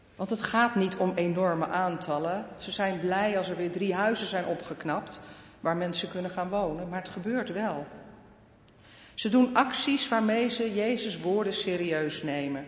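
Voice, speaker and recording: There is audible room echo as a woman of medium pitch speaks at a fairly slow pace with ordinary pitch variation. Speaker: pastor. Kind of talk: sermon. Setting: church.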